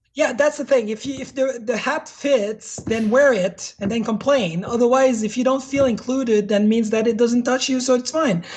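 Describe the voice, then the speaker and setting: A woman with a French accent and a high pitch talks with hardly any pauses over noticeable background noise. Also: ordinary pitch variation, moderate pace. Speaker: hardware developer. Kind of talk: casual interview chat.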